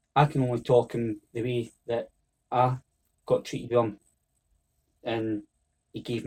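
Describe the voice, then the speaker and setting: A man with a Scottish accent, medium pitch, dark, mellow and somewhat breathy tone, monotone, flat intonation, moderate pace. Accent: Scottish (Fife). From Scotland, Fife (Oakley). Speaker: football coach. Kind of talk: interview.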